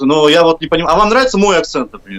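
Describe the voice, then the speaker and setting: A man talks at a high pitch. There is noticeable background noise in the recording. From Kazakhstan. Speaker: professional musician. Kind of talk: live stream interview.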